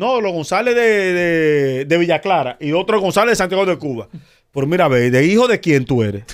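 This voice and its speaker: Very wide pitch swings in a man's high voice. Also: moderate pace. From Dominican Republic. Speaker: comedian and radio personality. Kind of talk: casual chat. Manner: animated.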